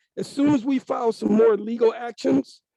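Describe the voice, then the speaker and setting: The sound is dry and close, with no echo. A man speaks in a high-pitched voice. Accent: American. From Omaha, Nebraska. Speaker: defense attorney. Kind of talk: interview.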